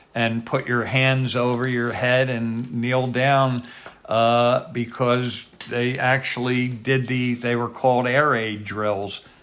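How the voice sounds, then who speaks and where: Monotone and flat, the voice moves at a very slow pace against noticeable background noise. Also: man, medium pitch for a man. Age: 70s. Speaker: retired police captain. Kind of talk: oral history interview.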